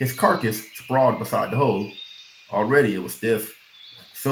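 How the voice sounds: Natural voice, reading aloud.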